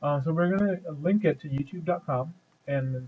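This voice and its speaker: Somewhat breathy, a man speaks in a fairly high pitch with ordinary pitch variation. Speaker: programming tutorial maker. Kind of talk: tutorial. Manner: many fillers and repetitions.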